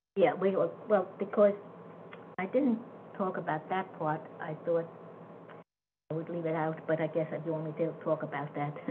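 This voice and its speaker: A woman speaks at a fairly low pitch with long, frequent pauses. Noticeable background noise runs behind her. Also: ordinary pitch variation, moderate pace. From Germany. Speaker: Holocaust survivor. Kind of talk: interview answer. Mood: reflective, matter-of-fact. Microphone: video call.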